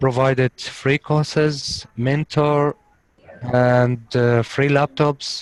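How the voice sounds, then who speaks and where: With a Syrian accent, a man of medium pitch speaks at a very slow pace in a monotone, flat delivery, the sound dry and close with no echo. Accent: Syrian Arabic accent, non-native English. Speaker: refugee, coding student. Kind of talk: interview. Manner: halting.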